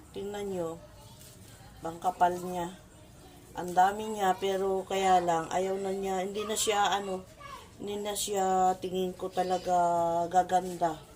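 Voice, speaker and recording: In a monotone, flat intonation at a medium pitch, a woman speaks at a fairly slow pace with long, frequent pauses. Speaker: home gardening vlogger. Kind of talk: casual tutorial vlog. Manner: conversational, hesitant.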